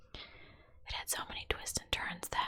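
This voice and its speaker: A woman whispers over noticeable background noise. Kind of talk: whispered true crime narration. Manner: whispered, soft.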